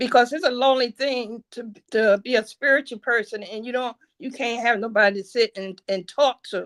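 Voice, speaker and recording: Talking at a moderate pace with hardly any pauses, a woman with an American accent has a fairly high pitch, fairly even intonation and big swings in loudness, in a dry, close sound with no echo. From New Jersey. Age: 60s. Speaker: caller. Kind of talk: casual chat. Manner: halting.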